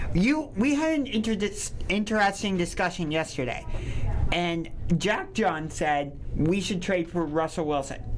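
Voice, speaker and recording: The speech moves at a fairly slow pace against light background noise. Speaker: sports talk co-host. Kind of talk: casual sports talk. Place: studio. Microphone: studio mic.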